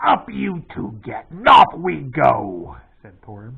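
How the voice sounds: Putting on a character voice, a man at medium pitch speaks at a very slow pace.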